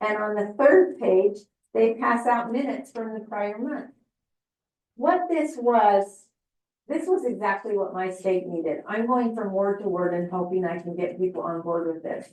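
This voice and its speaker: A woman speaks in an ordinary speaking voice at medium pitch, keeping a moderate pace with lively intonation. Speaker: family history presenter. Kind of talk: presentation.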